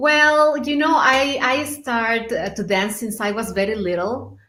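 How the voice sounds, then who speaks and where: Audible room echo hangs on this voice. It belongs to a woman. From Mexico. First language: Spanish. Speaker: belly dancer. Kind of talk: interview.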